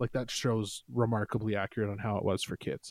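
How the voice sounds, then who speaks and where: The tone of this man's voice is dark and mellow. Nothing echoes, and the sound comes across dry and close. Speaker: podcast guest. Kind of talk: casual chat.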